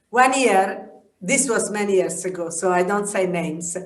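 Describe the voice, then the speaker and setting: A woman speaking at a moderate pace is heard with audible room echo. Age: 70s. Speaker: yoga teacher. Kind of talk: interview. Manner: halting.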